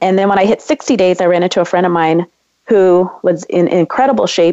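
At a fairly quick pace, a woman with a Californian accent speaks in a medium pitch with a dark, mellow tone and ordinary pitch variation, the sound dry and close with no echo. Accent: Californian American. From US West Coast, San Diego. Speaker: entrepreneur. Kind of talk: interview.

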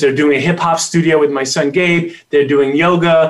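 Here is a man with a plain, everyday voice and an American accent. His pitch is fairly high, and his pace is moderate. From Queens, New York. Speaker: chiropractor and family coach. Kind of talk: interview.

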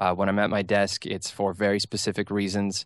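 A man with an American accent talks in a fairly low pitch against a quiet background. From Minnesota. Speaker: real estate broker. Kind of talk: radio interview. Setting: studio.

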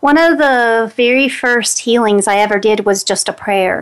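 A woman with an American accent talks at a fairly slow pace. It's a plain, everyday voice with ordinary pitch variation. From West Virginia, Greenbrier County. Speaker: energy healer and radio host. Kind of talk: guided prayer; radio talk show.

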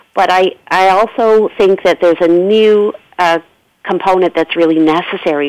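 An unremarkable speaking voice from a woman with a Canadian accent, fairly low in pitch, at a moderate pace with ordinary pitch variation and a dry, close sound with no echo. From Canada. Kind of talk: panel discussion. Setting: phone call.

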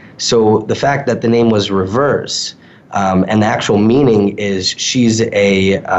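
At a very slow pace and with fairly even intonation, a man with an American accent speaks in a fairly low pitch over noticeable background noise. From New York suburbs. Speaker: social media consultant. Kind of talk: interview.

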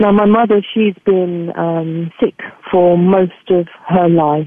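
With an English accent, a woman speaks at a very slow pace, her medium-pitched voice fairly even in intonation. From England. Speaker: spiritual healer and life coach. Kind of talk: interview. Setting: radio show. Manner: fluent.

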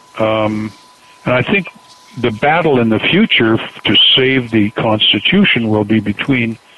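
Over noticeable background noise, a man speaks at a fairly slow pace with a Canadian accent. His pitch is medium, with ordinary pitch variation. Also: very even loudness. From Canada. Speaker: political author. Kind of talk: interview.

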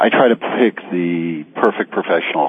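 Against noticeable background noise, a man with a very deep, low pitch talks at a fairly slow pace. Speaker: accountant. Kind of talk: radio interview. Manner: hesitant, filler-heavy.

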